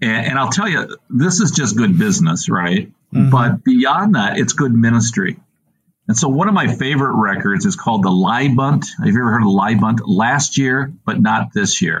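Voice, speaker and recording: With vocal fry and very wide pitch swings, a man of medium pitch speaks at a moderate pace. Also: very even loudness. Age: 60s. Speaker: Lutheran school executive director. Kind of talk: interview.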